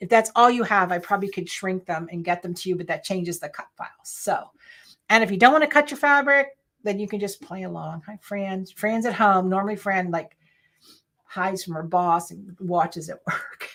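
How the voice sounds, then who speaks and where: A woman talks at medium pitch and a moderate pace, with ordinary pitch variation. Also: very clean recording, silent background. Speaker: sewing and quilting instructor. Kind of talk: live stream tutorial.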